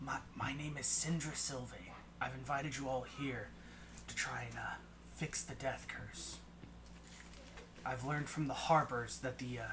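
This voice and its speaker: Over loud background noise, a man puts on a raspy character voice. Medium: actual play.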